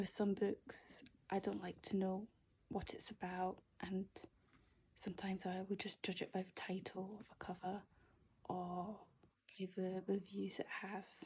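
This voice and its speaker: A soft-spoken woman talks at a fairly slow pace and a medium pitch, somewhat breathy. Her intonation is monotone and flat, with long, frequent pauses. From Scotland. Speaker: ASMR YouTuber. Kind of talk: ASMR book haul, casual talk to camera. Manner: soft-spoken, relaxing.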